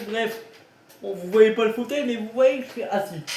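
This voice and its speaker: Noticeable background noise surrounds this man as he talks in a high-pitched voice. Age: 20s. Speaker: YouTuber, wheelchair user. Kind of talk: casual vlog. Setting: at home, bedroom. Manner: casual, hesitant.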